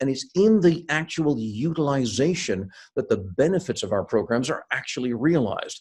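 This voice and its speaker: Here a man with an American accent speaks at a moderate pace and a fairly high pitch. His voice is somewhat breathy and swings very widely in pitch. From US, Seattle (born in India). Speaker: sales and leadership consultant, keynote speaker. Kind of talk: interview. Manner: hesitant with fillers and repeats.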